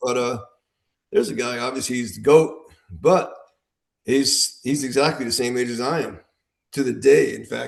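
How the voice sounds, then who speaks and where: With an American accent, a man talks at a moderate pace with vocal fry, ordinary pitch variation and long, frequent pauses. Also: medium pitch for a man. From US Midwest, Illinois. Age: 60s. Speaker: veteran armwrestler. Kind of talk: casual podcast chat.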